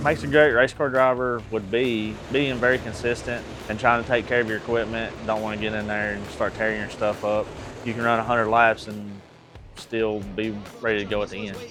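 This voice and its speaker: With music in the background, a man in an East Tennessee accent talks at a fairly quick pace, his medium-pitched voice keeping a fairly even intonation. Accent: Southern US (East Tennessee). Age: 30s. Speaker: race car driver. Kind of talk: interview. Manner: casual.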